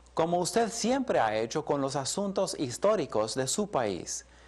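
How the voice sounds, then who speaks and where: A high-pitched man at a fairly slow pace, with very wide pitch swings against a quiet background. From Colombia, English-speaking home. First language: English (speaking Spanish). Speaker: Bible teacher. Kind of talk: lecture.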